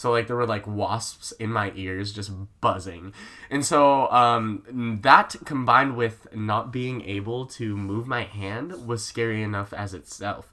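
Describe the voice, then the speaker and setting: A man with a plain, everyday voice speaks at a medium pitch. He goes at a fairly slow pace with ordinary pitch variation. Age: young. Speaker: host's brother, guest. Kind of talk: casual chat. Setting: home recording with laptop microphone.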